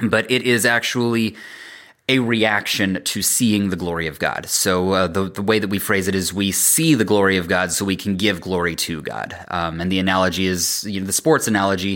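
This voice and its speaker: An ordinary speaking voice from a man, fairly low in pitch, with ordinary pitch variation and a moderate pace. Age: 30s. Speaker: worship and youth ministry leader. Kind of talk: casual interview.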